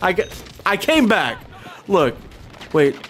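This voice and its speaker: A man talks at an unhurried, moderate speed while music plays behind him. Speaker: gaming streamer. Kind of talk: casual live stream chat while gaming. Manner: halting, repeated words.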